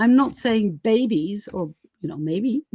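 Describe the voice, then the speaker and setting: Here a woman with a non-native accent speaks at a fairly slow pace and a fairly high pitch. The sound is dry and close, with no echo. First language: not English. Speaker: tarot reader. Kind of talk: live stream tarot reading. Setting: live stream. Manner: halting, many fillers.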